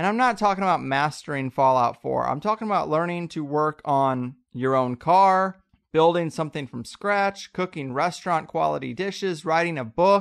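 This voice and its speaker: An American accent at a moderate pace with hardly any pauses, over a quiet background. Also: man, fairly high pitch for a man. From US Midwest. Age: 30s. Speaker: podcast host. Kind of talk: monologue; interview.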